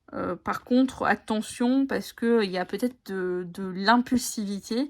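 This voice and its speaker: A woman talks very slowly on a very clean recording with a silent background, her pitch varying in an ordinary way. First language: Italian (speaking French). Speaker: tarot and oracle card content creator. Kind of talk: casual video chat presenting oracle decks. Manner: halting, many hesitations.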